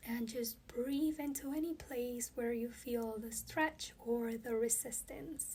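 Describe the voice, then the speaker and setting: Fairly slow, fairly even speech from a woman with a high pitch. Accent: Spanish. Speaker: yoga teacher. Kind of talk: guided yoga class. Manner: calm, instructive.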